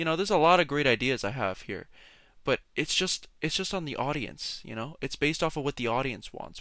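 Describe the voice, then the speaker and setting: In a very clean recording with a silent background, a man with an unremarkable speaking voice talks at a fairly quick pace. His pitch is fairly high, with lively intonation and big swings in loudness. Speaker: solo podcast host. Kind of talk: casual solo rant.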